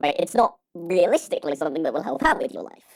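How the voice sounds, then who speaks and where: A woman's fairly quick delivery with vocal fry. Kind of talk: unscripted casual monologue about films. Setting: home recording late at night. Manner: rambling, hesitant, many fillers.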